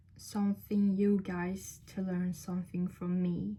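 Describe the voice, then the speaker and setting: A woman's somewhat breathy voice has a dark, mellow tone at medium pitch. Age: 20s. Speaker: vlogger. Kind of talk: casual talk to camera. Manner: halting, many fillers and restarts.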